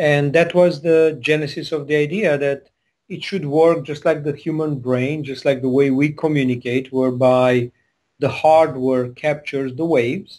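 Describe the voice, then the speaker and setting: A man with a Hungarian accent speaks at a moderate pace, his pitch fairly high and his intonation fairly even. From Transylvania, Romania. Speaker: tech company CEO. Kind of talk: interview.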